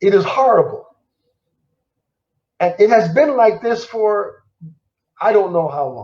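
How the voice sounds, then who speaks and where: Leaving long, frequent pauses, a man talks at a fairly slow pace with a high pitch and lively intonation. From Germany and Missouri, US. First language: German. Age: 70s. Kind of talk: personal testimony interview.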